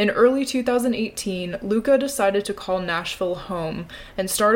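A plain, everyday voice belongs to a woman of medium pitch. She speaks at a moderate pace with ordinary pitch variation. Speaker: podcast host. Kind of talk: casual interview.

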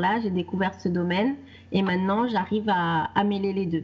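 Her voice is somewhat breathy and medium in pitch for a woman. She keeps a moderate pace with fairly even intonation. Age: 30s. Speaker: wellness coach. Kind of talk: interview. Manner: halting.

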